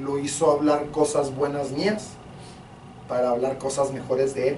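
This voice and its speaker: Fairly slow, fairly even delivery with audible room echo and noticeable background noise. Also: man. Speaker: pastor. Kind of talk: sermon. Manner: loud.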